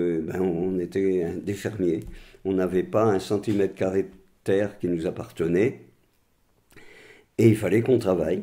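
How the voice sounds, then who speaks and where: At a fairly slow pace with long, frequent pauses, a man speaks in a very deep, low pitch with a dark, mellow tone and fairly even intonation. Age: 80s+. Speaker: retired farmer. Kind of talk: testimony.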